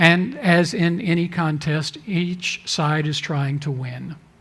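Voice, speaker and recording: Audible room echo surrounds a man who speaks at a high pitch with fairly even intonation. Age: 60s. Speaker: denominational leader. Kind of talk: talk to a church audience.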